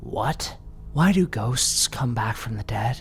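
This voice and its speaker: A man's put-on character voice at medium pitch, fairly slow, with clear background noise. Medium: read story.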